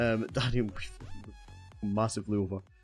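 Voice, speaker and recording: A man's fairly low voice with fairly even intonation, music in the background. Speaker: gaming streamer. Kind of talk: live stream interview chat.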